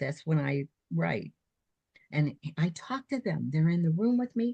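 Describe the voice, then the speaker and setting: In an American accent, a woman with a dark, mellow, somewhat breathy voice speaks at a moderate pace with lively intonation, the sound dry and close with no echo. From New Jersey. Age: 80s+. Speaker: author and retired nurse. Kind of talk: casual interview.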